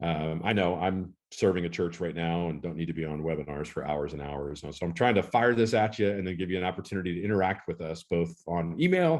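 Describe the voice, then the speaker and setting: A man speaks at a fairly quick pace with hardly any pauses, his pitch very deep and low with ordinary variation. The background is quiet. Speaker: church consultant and webinar presenter. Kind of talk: webinar presentation. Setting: live online webinar. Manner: fast.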